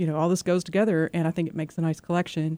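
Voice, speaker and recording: A woman's fairly low voice with a dark, mellow tone, dry and close with no echo, on a very clean recording with a silent background. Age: 40s. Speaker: visual artist and poet. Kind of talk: radio interview. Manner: halting, many repetitions and fillers.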